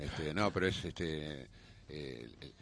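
Vocal fry runs through this man's voice. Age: 50s. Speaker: adult film actor. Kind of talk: radio interview. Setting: radio studio.

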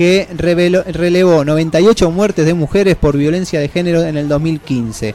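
A high-pitched man with ordinary pitch variation amid noticeable background noise. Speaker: radio host. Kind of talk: scripted monologue. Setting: studio.

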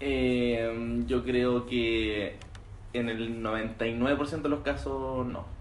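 Noticeable background noise and audible room echo surround the recording. A man speaks at a very slow pace. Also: medium pitch for a man, ordinary pitch variation. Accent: Chilean. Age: 20s. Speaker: music producer. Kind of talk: casual chat.

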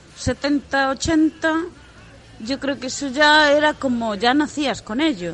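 A woman speaks in a high pitch with ordinary pitch variation. Noticeable noise fills the background. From Galicia, Spain. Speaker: fan. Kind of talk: recorded anecdote.

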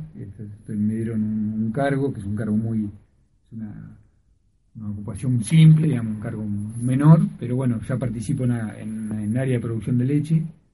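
A man's dark, mellow, somewhat breathy voice at a medium pitch, ordinary pitch variation and a moderate pace, with audible room echo. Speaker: veterinarian and university tutor. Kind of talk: radio interview.

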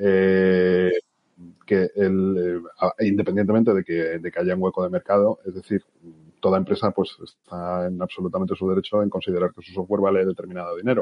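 Very deep and low, a man's voice moves at a fairly quick pace in a monotone, flat intonation. His loudness swings widely. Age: 50s. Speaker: marketing executive. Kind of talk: podcast interview. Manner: halting, repeats words.

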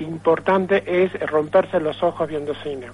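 A man's fairly slow speech is heard with noticeable background noise behind it. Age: 60s. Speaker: film club founder. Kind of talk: phone interview. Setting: phone call. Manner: halting, many fillers.

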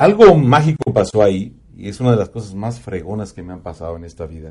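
A man talks at a fairly quick pace with lively intonation and a fairly low pitch. His tone is dark and mellow, and somewhat breathy. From Mexico, Puebla highlands. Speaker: radio announcer. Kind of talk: casual chat.

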